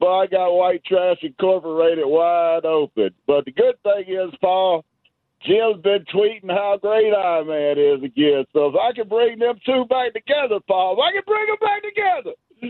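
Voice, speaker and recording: At a fairly slow pace, a man speaks with a high pitch and lively intonation. His loudness stays very even. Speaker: caller. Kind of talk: call-in chat. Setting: phone call. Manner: animated.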